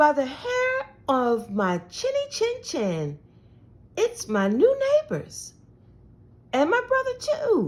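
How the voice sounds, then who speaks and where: A woman's put-on character voice, extremely high and very slow, broken by long, frequent pauses. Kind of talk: bedtime story. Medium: read story. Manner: friendly, folksy.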